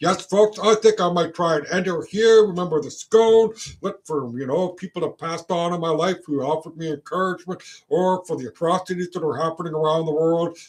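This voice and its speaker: A man speaks with a Canadian accent. His pitch is high, with ordinary variation. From Canada. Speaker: vlogger. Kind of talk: casual rant monologue. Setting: at home, filming in housecoat. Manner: halting.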